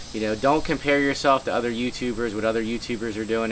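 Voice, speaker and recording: A man of medium pitch with fairly even intonation, over noticeable background noise. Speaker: YouTube creator giving channel tips. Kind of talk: casual vlog tutorial. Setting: outdoors. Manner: casual, filler-heavy.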